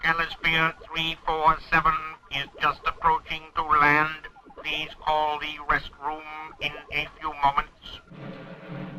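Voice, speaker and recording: The speaker uses a put-on character voice at a middle pitch. The delivery comes at a fairly slow pace. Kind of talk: formal. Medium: audio drama. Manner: formal, precise.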